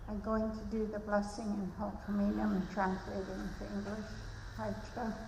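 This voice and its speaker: A woman speaks with noticeable background noise. The room echo is audible. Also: moderate pace. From Malahat Nation, Vancouver Island, Canada. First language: Halkomelem. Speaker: elder giving a blessing. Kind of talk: ceremonial blessing speech.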